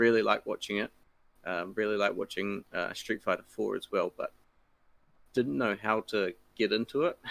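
A man with a New Zealand accent at a moderate pace, with long, frequent pauses, in a dry, close recording with no echo. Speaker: fighting game tournament organizer. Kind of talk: casual chat.

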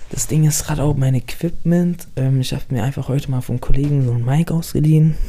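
Amid noticeable background noise, a man talks at medium pitch with ordinary pitch variation. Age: 20s. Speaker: podcaster. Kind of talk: casual monologue. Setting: home. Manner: halting. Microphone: mic problems.

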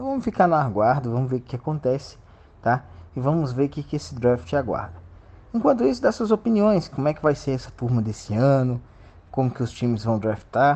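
A man speaks at medium pitch in a dark, mellow, somewhat breathy tone. His pitch swings very widely and his pace is fairly quick. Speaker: sports reporter and interviewer. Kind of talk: casual news segment; interview.

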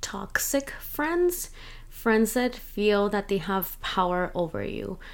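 A woman speaks at a very slow pace in a relaxed tone, on a very clean recording with a silent background. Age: 30s. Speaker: podcast host. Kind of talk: casual chat. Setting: home recording, self-produced. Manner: relaxed, Spanish-English code-switching.

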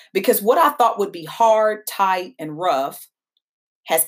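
Speaking fairly slowly in an American accent, a woman uses a medium pitch with very wide pitch swings. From Kentucky (Danville). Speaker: podcast host and founder of a tech company. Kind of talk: podcast monologue.

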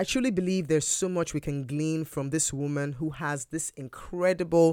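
A warm, enthusiastic tone comes through at a moderate pace on a very clean recording with a silent background. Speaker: podcast host. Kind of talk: podcast interview.

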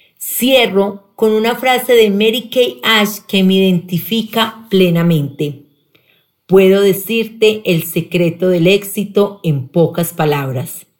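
Speaking very slowly at medium pitch, a woman keeps her loudness very even while her intonation stays lively. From Colombia, Pereira. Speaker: sales director. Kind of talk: personal testimony, read from script.

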